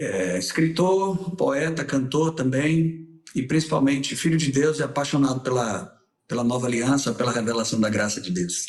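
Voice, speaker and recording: A man with a Bahian accent speaks at a moderate pace in a fairly high pitch, his intonation lively. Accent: Salvador (Bahian). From Salvador, Bahia, Brazil. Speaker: singer, writer and former pastor. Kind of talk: casual interview chat.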